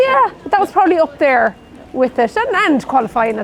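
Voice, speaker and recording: A woman speaks in a high pitch with an Irish Midlands accent. Noticeable background noise runs behind her. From Ireland, Roscommon. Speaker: nurse. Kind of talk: interview.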